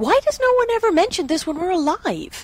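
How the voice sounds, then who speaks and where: In a put-on character voice, a woman squeaks at an extremely high pitch, talking at a fairly quick pace with very wide pitch swings. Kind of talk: scripted comedic dialogue. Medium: puppet show. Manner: dry, analytical. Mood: scheming, amused.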